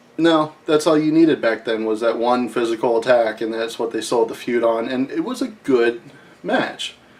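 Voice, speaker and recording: A man's medium-pitched voice with an American accent, over noticeable background noise. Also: ordinary pitch variation, moderate pace. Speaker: wrestling recap host. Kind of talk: casual commentary monologue.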